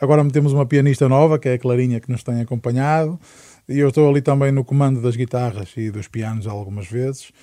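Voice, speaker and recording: A man speaks very fast at a medium pitch with fairly even intonation. His tone is dark and mellow, and the recording is very clean with a silent background. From Portugal, Amarante. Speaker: singer-songwriter. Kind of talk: interview. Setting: studio.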